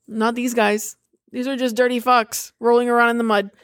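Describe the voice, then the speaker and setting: With a Boston accent, a woman speaks at a moderate pace in a fairly high, flat monotone, the recording very clean, dry and close with a silent background and no echo. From Massachusetts (Boston area). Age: 30s. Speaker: podcast co-host. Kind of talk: casual chat.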